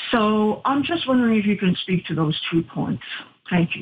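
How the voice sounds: Her voice at medium pitch, a woman speaks at a moderate pace with lively intonation and a slightly husky edge.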